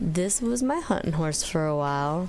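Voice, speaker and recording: Amid audible room echo, a woman with a fairly low pitch speaks at a moderate pace. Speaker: gaming YouTuber. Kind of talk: casual gameplay commentary. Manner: loud; animated.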